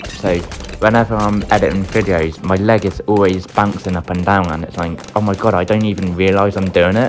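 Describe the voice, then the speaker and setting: Over music in the background, a man speaks fairly quickly in a monotone, flat delivery at a fairly low pitch. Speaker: gaming youtuber. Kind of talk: gameplay commentary.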